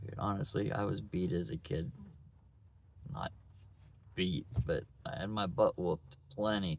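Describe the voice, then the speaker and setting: A man's voice with vocal fry. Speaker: vlogger, single father. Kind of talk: personal video diary. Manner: mumbling; halting.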